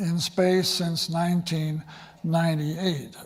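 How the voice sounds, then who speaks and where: At a very slow pace, a man gets his words out. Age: 80s+. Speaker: space education institute leader. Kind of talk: conference talk. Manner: halting, with many fillers.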